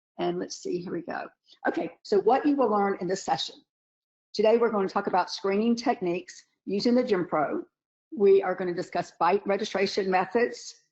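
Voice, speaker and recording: A woman with an American accent talks at a fairly quick pace with ordinary pitch variation. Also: medium pitch for a woman. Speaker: dentist and webinar lecturer. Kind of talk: webinar lecture. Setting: online webinar, camera off. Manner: casual, chatty with many fillers.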